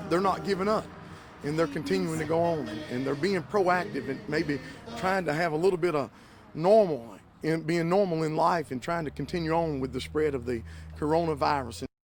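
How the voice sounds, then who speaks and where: Music plays in the background. The speech moves at a fairly quick pace with lively intonation. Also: man, fairly high pitch for a man. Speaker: pastor. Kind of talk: interview answer.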